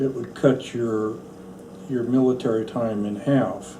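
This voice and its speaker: A man with a medium pitch speaks in fairly even intonation, with audible room echo and noticeable background noise. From central Oregon, US. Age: 70s. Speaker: National Guard veteran. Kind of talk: oral history interview.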